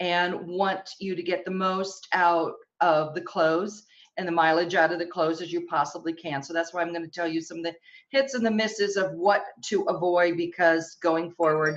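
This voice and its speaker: A woman speaks at a moderate pace in a fairly low voice, with ordinary pitch variation. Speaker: fashion stylist. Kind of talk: webinar presentation. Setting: online webinar. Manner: animated.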